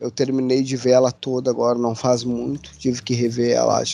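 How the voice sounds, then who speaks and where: With flat, monotone intonation, a man delivers his words at a fairly quick pace. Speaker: podcast host. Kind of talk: casual chat.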